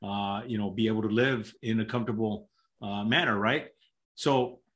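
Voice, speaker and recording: Fairly even intonation marks talking that proceeds at a moderate pace. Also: man. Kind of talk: interview answer. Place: home room. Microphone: video call.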